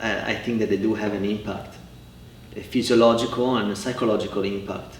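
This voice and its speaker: With audible room echo, a man in an Italian accent speaks in a fairly low, flat monotone. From Italy, Cremona (north, near Milan). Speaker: family therapist. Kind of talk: interview. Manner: halting, many repetitions.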